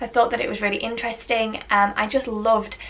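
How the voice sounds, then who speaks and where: A woman with a British accent, over noticeable background noise. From UK. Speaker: book reviewer. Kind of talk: casual talk to camera.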